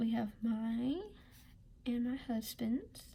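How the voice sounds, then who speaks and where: Quiet and somewhat breathy, this woman speaks with a fairly high pitch. Her pitch varies in an ordinary way. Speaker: budgeting vlogger. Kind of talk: casual tutorial. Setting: at home.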